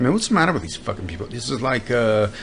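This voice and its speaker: A man mumbles with an American accent. Noticeable background noise runs under his voice. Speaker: podcast host. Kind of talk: comedic monologue. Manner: mumbling, trails into lower voice; halting.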